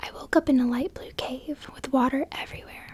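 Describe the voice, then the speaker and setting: A woman whispers fairly slowly while noticeable background noise continues around her. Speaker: ASMR creator. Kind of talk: ASMR reading of viewer-submitted dreams. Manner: soft, whispered.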